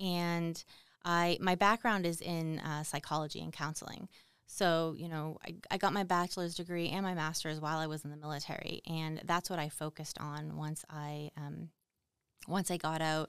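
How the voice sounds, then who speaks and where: Talking at a moderate pace with a slight Boston accent, a woman uses a very deep, low pitch and monotone, flat intonation. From Boston, US. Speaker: Army veteran and military spouse, mother. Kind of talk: casual interview chat.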